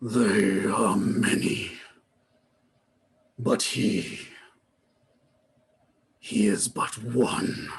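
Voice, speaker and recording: A man's raspy, gravelly put-on character voice at a medium pitch, very slow pace and long, frequent pauses. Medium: actual play. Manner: slow, commanding.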